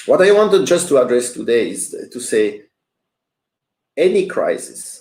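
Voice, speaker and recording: Fairly slowly, a man talks with a French accent. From Switzerland, French-speaking. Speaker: business coach. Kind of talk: livestream motivational talk. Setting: live stream. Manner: hesitant, many fillers.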